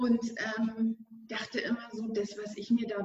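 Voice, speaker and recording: A woman's fairly high voice at a fairly slow pace. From Bavaria, Germany. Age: 40s. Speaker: business mentor. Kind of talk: podcast interview. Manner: hesitant, many fillers.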